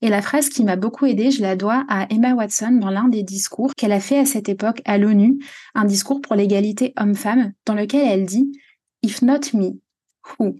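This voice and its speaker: This woman's voice sits fairly high in pitch, with a dark, mellow tone. It is somewhat breathy and very even in loudness. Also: ordinary pitch variation, moderate pace. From France, Normandy. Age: 20s. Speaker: podcast host and coach. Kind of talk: personal storytelling monologue.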